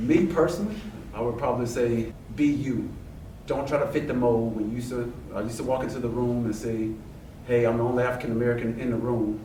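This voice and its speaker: A man's medium-pitched voice at a very fast pace, with fairly even intonation, long and frequent pauses, audible room echo and noticeable background noise. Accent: Southern US. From Louisiana, Baton Rouge. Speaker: air force master sergeant. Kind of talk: casual interview.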